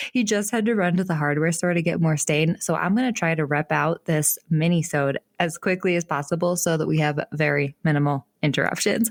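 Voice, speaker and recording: A woman's fairly low-pitched, animated voice at a fairly quick pace, with ordinary pitch variation, very even loudness, hardly any pauses and a dry, close sound with no echo. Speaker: podcast host. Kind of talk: casual solo podcast tips. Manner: fast.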